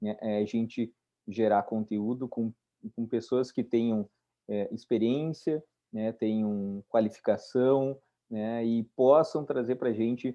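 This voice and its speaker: The man talks very slowly, his intonation fairly even. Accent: southern Brazilian. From southern Brazil (Rio Grande do Sul). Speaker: environmental lawyer. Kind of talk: online webinar discussion.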